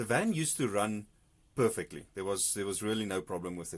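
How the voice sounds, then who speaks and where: A man speaks with a fairly low pitch and ordinary pitch variation on a very clean recording with a silent background. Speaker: DIY vlogger fixing a camper van. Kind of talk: casual tutorial vlog. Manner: hesitant, many ums.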